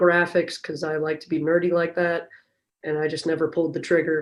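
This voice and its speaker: A woman's very deep, low voice in an American accent, with monotone, flat intonation. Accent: Chicago accent, now said to sound Southern. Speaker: strength and conditioning coach. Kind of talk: podcast interview.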